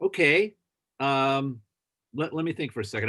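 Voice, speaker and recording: A man speaks at a fairly high pitch. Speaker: guest lecturer. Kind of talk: casual chat. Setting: video call. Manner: halting.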